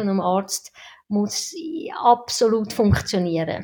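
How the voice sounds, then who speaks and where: A woman talks with a Swiss accent. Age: 50s. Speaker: anesthesiologist. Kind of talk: casual interview.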